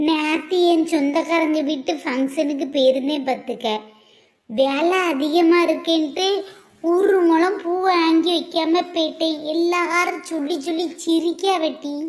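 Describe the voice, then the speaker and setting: Very slowly, a woman does a cartoonish character voice at an extremely high pitch, keeping a fairly even intonation. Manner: curious, chatty.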